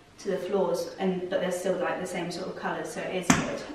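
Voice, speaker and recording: A woman speaks in a monotone with flat intonation. Her voice has audible room echo and noticeable background noise. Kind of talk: casual vlog chat. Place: home room.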